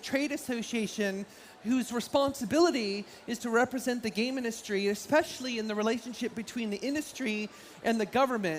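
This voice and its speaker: A woman with an American accent talks at a fairly quick pace in a fairly high pitch with ordinary pitch variation over noticeable background noise. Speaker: game industry consultant and speaker. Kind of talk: conference talk. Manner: fast; animated.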